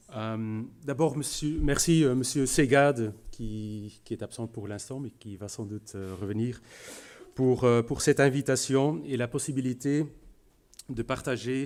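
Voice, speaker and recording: With a Flemish accent, a man talks at a very slow pace with long, frequent pauses, medium pitch, ordinary pitch variation and big swings in loudness, on a very clean recording with a silent background. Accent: Flemish Belgian accent in French. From Flanders, Belgium. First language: Dutch (speaking French). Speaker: business executive. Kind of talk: conference talk. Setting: room with audience. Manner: halting, many hesitations.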